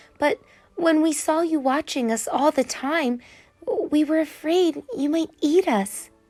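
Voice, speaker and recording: A woman's put-on character voice at a fairly slow pace, with faint music in the background. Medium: read story.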